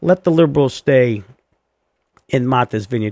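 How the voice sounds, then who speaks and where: In a dry, close sound with no echo, a man speaks at a medium pitch in an ordinary speaking voice. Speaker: podcast host. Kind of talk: angry political rant. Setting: studio. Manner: loud, indignant, sarcastic; fast, heated, mocking.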